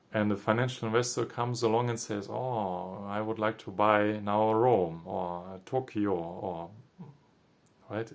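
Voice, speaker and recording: This man has a non-native accent. He speaks at a fairly slow pace with fairly even intonation. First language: not English. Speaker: spiritual commentator. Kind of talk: reflective monologue. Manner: halting.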